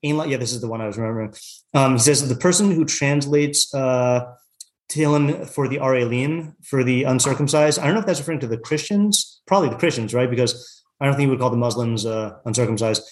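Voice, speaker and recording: At a very fast pace, a man talks in an American accent at a medium pitch with ordinary pitch variation. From US Pacific Northwest (Yakima, Washington). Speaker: rabbi and Torah teacher. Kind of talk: text study class. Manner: halting, many fillers.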